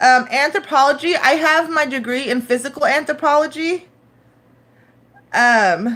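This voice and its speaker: With a Northern California accent, a woman speaks in a high pitch and a bright, sharp tone, with ordinary pitch variation and long, frequent pauses. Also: moderate pace. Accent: Northern California American English. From San Francisco, California (moved from Turkey at six). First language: Turkish. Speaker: live streamer. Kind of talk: casual live stream chat. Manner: halting, many fillers.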